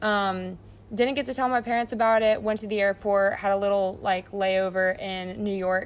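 With fairly even intonation at a medium pitch, a woman speaks in a plain, everyday voice. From United States. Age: 19. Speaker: college volleyball player. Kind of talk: casual chat.

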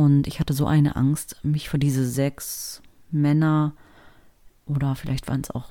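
A woman's very deep, low voice with a dark, mellow tone at a moderate pace. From Germany, Berlin. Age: 40s. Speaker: podcast host, actress and voice artist, ex-Jehovah's Witness. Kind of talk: personal testimony podcast monologue.

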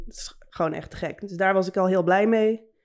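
An unremarkable speaking voice, this woman's is medium in pitch with fairly even intonation. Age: 30s. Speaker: tattoo artist. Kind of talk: casual chat.

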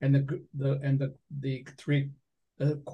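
In an American accent, a man with a fairly high pitch speaks in a somewhat breathy voice with a dark, mellow tone. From Binghamton, New York. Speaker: poet and lyricist. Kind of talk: casual interview.

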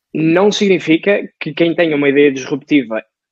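The speaker is a man. His pitch shifts by an ordinary amount. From northern Portugal, Lixa. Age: 20s. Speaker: podcast co-host, entrepreneur. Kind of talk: casual chat.

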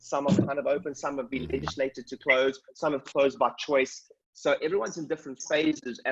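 Someone with a South African accent speaks in an energetic tone at a very fast pace, with hardly any pauses. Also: man. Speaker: chiropractic business coach and clinic owner. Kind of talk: coaching call talk. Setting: video call. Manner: fast talker.

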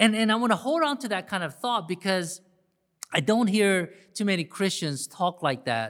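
A man speaks at a fairly slow pace with a high pitch. The recording is very clean, with a silent background. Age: 50s. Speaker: pastor. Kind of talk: sermon. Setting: church service. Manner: halting, many fillers.

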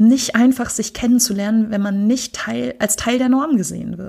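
With an unremarkable speaking voice, a woman speaks at a fairly slow pace and a fairly high pitch, keeping her intonation fairly even. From Germany. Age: 30s. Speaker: poetry slammer and queer network worker. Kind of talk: casual chat.

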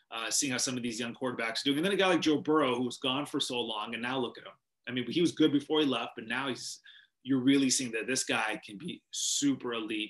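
A man with a western Canadian accent talks at a very fast pace. His pitch is medium, with ordinary variation. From Canada, Vancouver, British Columbia. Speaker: sports TV anchor. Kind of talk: interview.

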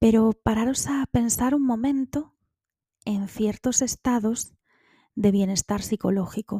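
Fairly high and somewhat breathy with a dark, mellow tone, a woman's voice moves at a fairly slow pace with fairly even intonation, the sound dry and close with no echo in a very clean recording with a silent background. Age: 30s. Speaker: podcaster. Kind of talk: personal monologue.

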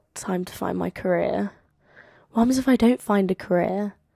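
A woman with a slight London accent speaks at a moderate pace in a very clean recording with a silent background and a dry, close sound with no echo. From London, England. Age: 20s. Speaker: podcaster and university student. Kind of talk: casual solo podcast monologue. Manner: chatty, rambling, animated.

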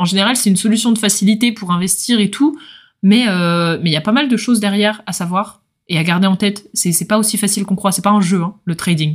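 Somewhat breathy, a woman speaks fairly quickly with ordinary pitch variation. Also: medium pitch for a woman, very clean recording, silent background. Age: 20s. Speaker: podcast host, finance student. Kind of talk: casual solo podcast explainer. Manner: animated.

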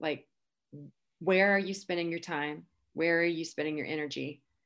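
The speaker has a plain, everyday voice with fairly even intonation. The background is quiet. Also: woman. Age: 40s. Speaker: teacher, blogger and podcaster. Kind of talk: interview.

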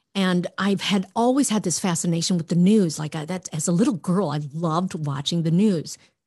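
Somewhat breathy speech moves at a moderate pace with ordinary pitch variation against a quiet background. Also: woman. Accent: American. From Minnesota, US Midwest. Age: 50s. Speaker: former TV journalist. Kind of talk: casual chat.

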